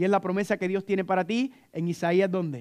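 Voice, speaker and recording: A man with a high pitch and an animated tone, at a fairly quick pace. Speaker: preacher. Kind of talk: sermon. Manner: fast.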